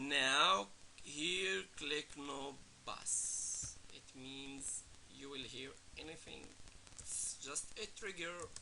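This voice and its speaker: A man with a non-native accent talks at a very slow pace and fairly high pitch, using lively intonation amid audible room echo. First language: not English. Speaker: music producer teaching production. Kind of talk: tutorial. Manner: casual, halting.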